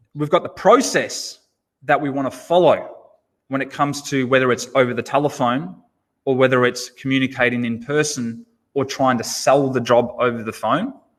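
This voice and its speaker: In an ordinary speaking voice, a man speaks at a moderate pace and medium pitch with fairly even intonation. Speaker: automotive sales trainer. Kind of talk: webinar presentation.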